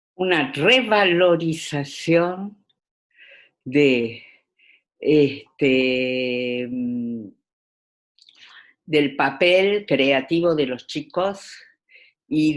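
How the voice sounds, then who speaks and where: Intonation is lively throughout. The background is quiet. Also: woman. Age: 70s. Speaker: education specialist. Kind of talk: interview. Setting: video call. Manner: hesitant, many fillers.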